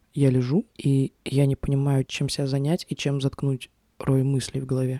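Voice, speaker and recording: Recorded with a dry, close sound and no echo, a woman's voice is very deep and low, with a dark, mellow tone. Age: 20s. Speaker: podcast host and producer. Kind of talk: personal monologue podcast. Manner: casual conversational.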